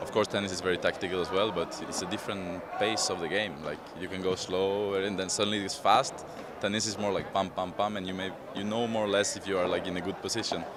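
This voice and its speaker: The speech comes very fast and flat in a monotone, with audible room echo and noticeable background noise. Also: man, fairly low pitch for a man. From Norway, Oslo. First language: Norwegian. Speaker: padel player, former tennis pro. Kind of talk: interview. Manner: conversational, with hesitations and repetitions.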